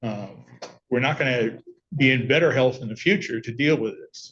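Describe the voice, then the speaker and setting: A man talks at a medium speed. His voice carries some breathiness. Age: 70s. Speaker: petitioner in court. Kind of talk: court testimony.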